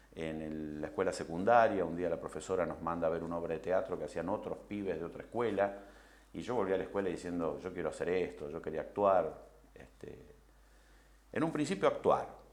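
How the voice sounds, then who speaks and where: A man speaks fairly quickly, his voice carrying audible room echo. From Argentina, Rosario. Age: 60s. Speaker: film director. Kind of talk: interview. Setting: recorded interview. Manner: hesitant, many fillers.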